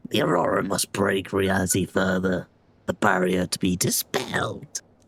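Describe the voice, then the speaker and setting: A put-on character voice at a low pitch and moderate pace. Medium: game stream. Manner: solemn, cryptic.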